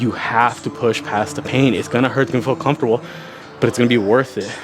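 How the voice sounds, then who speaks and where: Over music in the background, a man with a medium pitch talks at a very fast pace. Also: ordinary pitch variation. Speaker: fitness youtuber. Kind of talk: workout vlog talk. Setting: home gym. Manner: casual.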